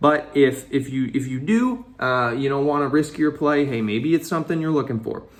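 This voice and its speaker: The pace is moderate, with hardly any pauses. Background noise is noticeable. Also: man, fairly high pitch for a man, ordinary pitch variation. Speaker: finance YouTuber. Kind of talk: casual vlog commentary. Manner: halting, stumbling over words; animated.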